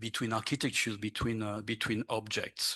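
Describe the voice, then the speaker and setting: A man's bright, sharp tone with a French accent, over a quiet background. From France. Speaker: archaeologist. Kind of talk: conference panel presentation. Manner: halting, many fillers.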